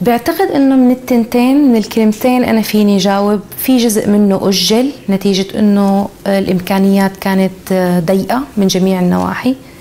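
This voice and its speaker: Her loudness very even, a woman talks at a moderate pace with ordinary pitch variation. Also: hardly any pauses. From Syria. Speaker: sculptor and visual artist; interviewee. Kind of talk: interview. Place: workshop. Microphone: lapel.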